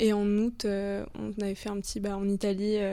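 Dark, mellow tone from a woman at a medium pitch. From Le Mans, France. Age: 20s. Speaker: tourism student. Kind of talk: casual chat.

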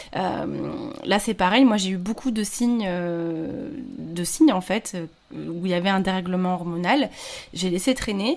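Against noticeable background noise, a woman with a medium pitch speaks very slowly with lively intonation. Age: 30s. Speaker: podcaster and freelancer sharing her infertility story. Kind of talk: casual interview. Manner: hesitant, many fillers.

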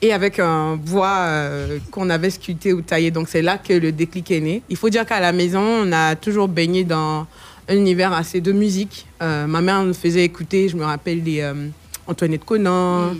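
A woman with an ordinary speaking voice talks at a moderate pace, fairly low in pitch, with fairly even intonation. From Côte d'Ivoire. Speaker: singer. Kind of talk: radio interview.

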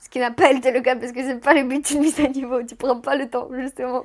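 A woman's high-pitched voice moves along at a fairly quick pace. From Moldova. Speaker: podcast guest recounting her life. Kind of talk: personal storytelling interview. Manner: halting, with repetitions.

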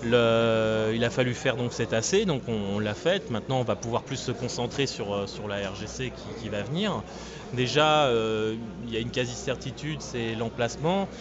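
Noticeable background noise runs beneath fairly slow speech with ordinary pitch variation. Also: man, medium pitch for a man. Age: 30s. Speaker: retro gaming event organizer. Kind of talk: interview.

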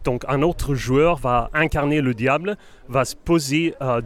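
A man speaks with a Swedish accent. His pace is very slow. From Sweden, Gothenburg. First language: Swedish (speaking French). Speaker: game designer. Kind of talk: interview. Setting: convention floor. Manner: halting.

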